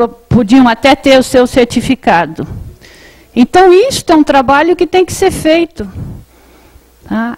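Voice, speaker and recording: A woman's high voice, fairly slow, with very wide pitch swings and long, frequent pauses. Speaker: tax auditing official. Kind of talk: panel presentation. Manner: halting.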